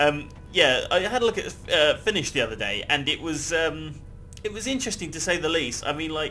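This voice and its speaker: This man speaks with a British accent. His fairly high pitch moves with lively intonation. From Britain. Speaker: gaming YouTuber. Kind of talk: gameplay commentary. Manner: casual, rambling with fillers.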